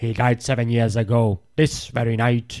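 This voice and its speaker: A man's put-on character voice, growling at a medium pitch with monotone, flat intonation and a moderate pace. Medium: read story. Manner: curt, growling, sarcastic.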